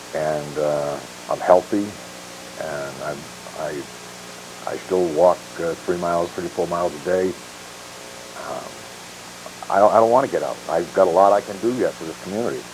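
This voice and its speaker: Long, frequent pauses break up a man's very deep, low voice, which has ordinary pitch variation over noticeable background noise. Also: moderate pace, big swings in loudness. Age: 60s. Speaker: retired police officer and sheriff candidate. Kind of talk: interview on local talk show. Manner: halting, with many fillers.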